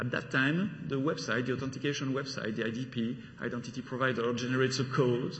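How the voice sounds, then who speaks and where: Speaking at a fairly quick pace, a man uses a medium pitch and has a French accent. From Belgium. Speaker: solution architect giving a conference talk. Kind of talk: technical conference talk. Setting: conference stage with audience. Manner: halting, with frequent fillers.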